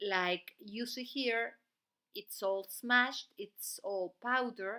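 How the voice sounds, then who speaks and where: On a very clean recording with a silent background, a woman with a non-native accent speaks in a bright, sharp tone. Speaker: beauty channel host. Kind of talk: tutorial.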